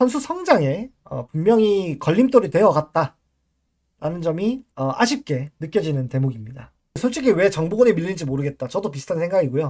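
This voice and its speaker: At a fairly quick pace, a man with a high voice makes very wide pitch swings. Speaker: baseball commentary livestreamer. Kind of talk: casual live-stream talk.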